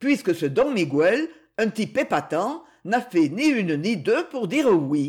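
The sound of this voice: This is an unforced reading voice. Nothing more is noted.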